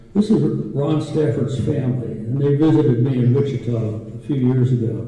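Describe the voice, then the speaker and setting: Audible room echo hangs around this man's voice. His pitch sits at a medium level with ordinary pitch variation. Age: 80s+. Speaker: war veteran, former aviator. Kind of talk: conference presentation and Q&A.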